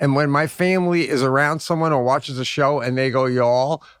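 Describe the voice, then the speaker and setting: A man speaks with a Long Island accent. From US Northeast, Long Island. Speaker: comedy podcast co-host. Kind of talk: casual chat.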